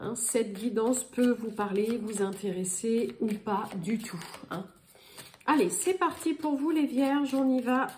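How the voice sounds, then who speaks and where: A woman's fairly high voice with lively intonation at a very slow pace, over noticeable background noise. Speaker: tarot card reader. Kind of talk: astrology guidance reading. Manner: hesitant, many filler sounds.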